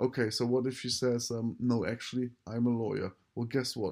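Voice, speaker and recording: With a German accent, this man talks at a fairly quick pace in a medium pitch and a dark, mellow tone. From Germany. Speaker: dating coach. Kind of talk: solo podcast monologue. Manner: casual with many fillers.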